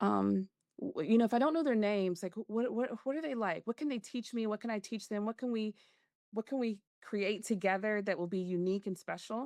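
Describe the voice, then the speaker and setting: In a Southern US accent, a woman talks at a fairly quick pace with a fairly high pitch and ordinary pitch variation, the sound dry and close with no echo over a quiet background. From Macon, Georgia. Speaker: organizational development consultant. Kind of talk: interview answer.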